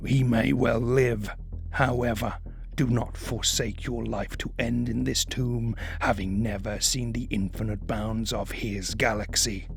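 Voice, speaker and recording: Over clear music in the background, a man does a put-on character voice at a fairly slow pace. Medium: read story. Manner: grave, measured, solemn.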